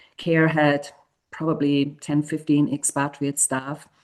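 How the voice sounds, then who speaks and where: The voice has a dark, mellow tone and a monotone, flat intonation. It moves along at a moderate pace. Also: woman. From Uruguay, raised in exile in South America. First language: Spanish. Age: 50s. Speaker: humanitarian leader. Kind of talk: podcast interview. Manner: hesitant, with fillers and restarts.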